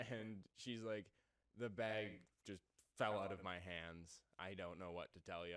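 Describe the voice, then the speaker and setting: Intonation remains fairly even. Delivery proceeds at a moderate pace. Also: man. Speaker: podcast co-host. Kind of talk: casual chat. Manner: halting.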